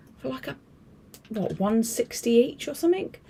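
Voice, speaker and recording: A woman is speaking. She whispers. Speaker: craft video host. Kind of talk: live craft demo stream. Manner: chatty, rambling with fillers; whispering.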